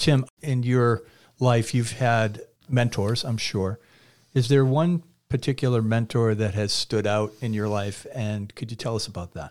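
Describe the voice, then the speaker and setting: In a plain, everyday voice, a man with an American accent speaks at a fairly slow pace with a medium pitch and ordinary pitch variation. The recording is very clean, with a silent background. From Massachusetts (Quincy). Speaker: podcast host. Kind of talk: interview. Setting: studio.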